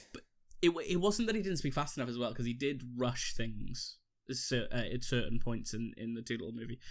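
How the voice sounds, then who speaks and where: Spoken at a fairly quick pace in a Welsh accent, the voice shows ordinary pitch variation. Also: man, medium pitch for a man. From Wales. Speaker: podcast co-host. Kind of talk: casual chat.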